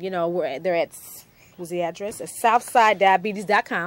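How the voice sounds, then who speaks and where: A woman's unremarkable speaking voice at a fairly quick pace, with ordinary pitch variation and big swings in loudness. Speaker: TV talk show host. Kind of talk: TV interview show, announcements.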